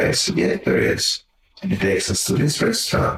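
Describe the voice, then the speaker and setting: A man with a Hungarian accent. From Hungary. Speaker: magazine publisher and philanthropist. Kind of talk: interview storytelling.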